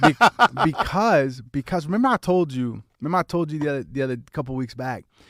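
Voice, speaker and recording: In a very clean recording with a silent background and a dry, close sound with no echo, a man talks at a very fast pace in an animated tone, his pitch fairly high with ordinary variation. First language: Spanish. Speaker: podcast co-host. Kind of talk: casual chat.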